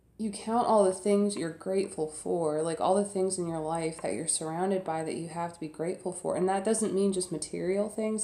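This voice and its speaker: A woman's dark, mellow tone carries fairly even intonation. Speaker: tarot reader. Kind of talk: tarot reading monologue.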